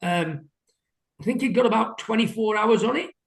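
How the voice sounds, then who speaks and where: Speaking at a moderate pace, a man talks with a British accent. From England. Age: 60s. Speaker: window cleaner. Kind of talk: interview. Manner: hesitant.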